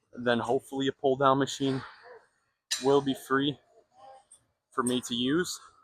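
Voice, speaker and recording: The man speaks at a medium pitch. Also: long, frequent pauses. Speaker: fitness vlogger. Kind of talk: casual gym vlog talk. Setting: gym. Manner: fast.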